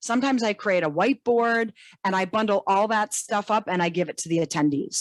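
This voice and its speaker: In a very clean recording with a silent background and a dry, close sound with no echo, a woman speaks fairly quickly at a medium pitch with lively intonation. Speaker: database trainer and consultant. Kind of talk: interview. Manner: fast.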